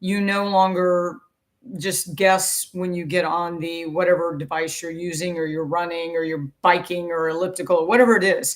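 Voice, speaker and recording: A woman talks at a moderate pace with fairly even intonation and a fairly low pitch. It is an ordinary speaking voice. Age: 60s. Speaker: fitness coach. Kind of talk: talking-head explainer.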